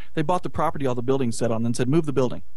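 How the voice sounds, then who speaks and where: A man rushes along at a very fast pace with fairly even intonation as noticeable background noise plays. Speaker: film producer and internet radio station owner. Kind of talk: casual chat.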